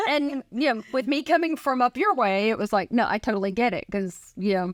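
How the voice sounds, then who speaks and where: A woman's unremarkable speaking voice in an American accent, fairly quick with lively intonation, dry and close with no echo. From northern US. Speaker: realtor. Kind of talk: casual interview.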